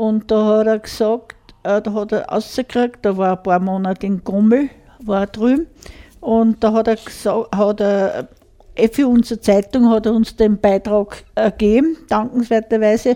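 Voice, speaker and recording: A woman with an Upper Austrian accent speaks at a fairly slow pace with fairly even intonation. Her voice is fairly high in pitch, with a dark, mellow tone. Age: 60s. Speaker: radio co-host, dialect club member. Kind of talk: casual radio chat. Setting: radio studio.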